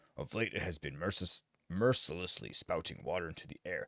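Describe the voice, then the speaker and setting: A man puts on a character voice with a very deep, low pitch. He delivers it at a fairly quick pace. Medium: game stream. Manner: formal, stately, archaic phrasing.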